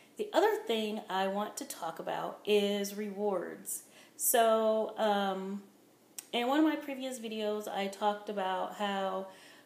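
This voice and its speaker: In a room with audible echo, a woman talks at a very slow pace with lively intonation. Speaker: weight-loss vlogger. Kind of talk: casual vlog monologue. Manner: rambling with fillers.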